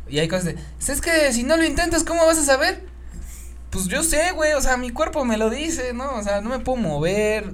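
Speaking in a Mexican accent, the voice carries an animated tone. Noticeable background noise runs underneath. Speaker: podcast co-host. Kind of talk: casual chat.

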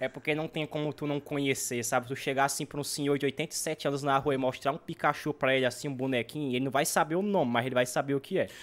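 A man races along at a very fast pace with fairly even intonation and hardly any pauses. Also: fairly high pitch for a man. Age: 20s. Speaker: gaming YouTuber. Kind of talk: casual chat.

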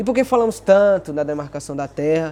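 Dark, mellow, high-pitched male speech. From Bahia, Brazil (northeast). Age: 20s. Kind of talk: casual explanation.

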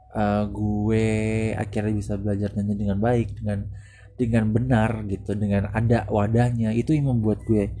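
A man speaks at a moderate pace with a fairly low pitch. His intonation is monotone and flat, with music in the background. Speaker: podcaster. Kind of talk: solo monologue podcast, casual reflective talk. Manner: halting, many fillers and pauses.

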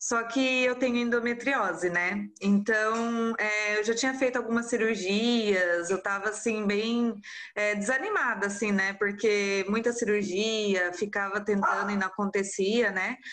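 A woman's fairly high voice at a fairly slow pace, with hardly any pauses, fairly even intonation, very even loudness and noticeable background noise. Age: 30s. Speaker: mother of twins, artisan soap maker. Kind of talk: casual interview.

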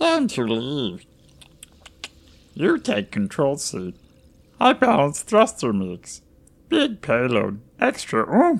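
A croaky, put-on character voice sits at a low-to-middle pitch. The delivery is very slow, with long, frequent pauses. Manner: choppy broken speech, urgent, proud.

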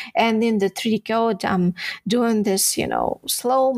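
Speaking with a Ukrainian accent, a woman uses a fairly high pitch and ordinary pitch variation. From Ukraine (Odesa). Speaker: 3D texture artist. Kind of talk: interview. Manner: halting.

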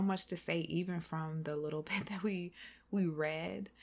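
This woman has an unremarkable speaking voice with an American accent, a fairly low pitch, fairly even intonation and a moderate pace. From South Carolina. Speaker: podcast host. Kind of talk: casual chat.

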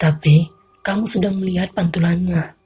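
Delivered at a fairly slow pace with fairly even intonation, this is a normal speaking voice. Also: woman. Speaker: radio announcer. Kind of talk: horror narration. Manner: measured, suspenseful, atmospheric storytelling.

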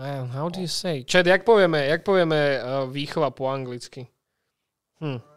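A man's fairly high voice with a Slovak accent, at a moderate pace and with ordinary pitch variation. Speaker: podcast host. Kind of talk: casual interview chat.

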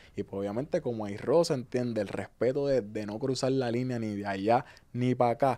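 Delivery runs fairly quickly. A dark, mellow tone carries ordinary pitch variation. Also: man, medium pitch for a man. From Puerto Rico (Ceiba, Río Grande). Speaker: reggaeton artist. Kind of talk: casual interview.

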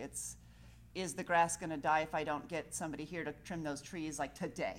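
Over a very clean recording with a silent background, a woman speaks at a moderate pace with vocal fry. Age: 40s. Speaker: yoga teacher. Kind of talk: yoga class talk. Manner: calm, relaxed.

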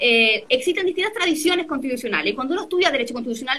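Her pitch is high and her intonation lively. The woman talks at a very fast pace in a raised, projected voice. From Chile, San Felipe (Aconcagua valley). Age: 30s. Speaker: constitutional lawyer. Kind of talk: interview.

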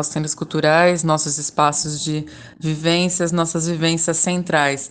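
A fairly slow delivery in a flat, monotone intonation. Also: woman. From São Paulo metro area, Brazil (Caieiras). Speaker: podcast host, journalist. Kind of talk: interview.

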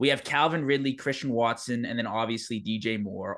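In a Canadian accent, a man with an unremarkable speaking voice talks at a moderate pace, with medium pitch and fairly even intonation. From Canada. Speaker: podcast host. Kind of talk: casual interview.

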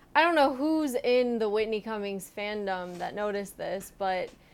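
With a normal speaking voice, a woman talks at a medium pitch and a fairly slow pace. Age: 20s. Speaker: podcast co-host. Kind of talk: casual chat. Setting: at her parents' home.

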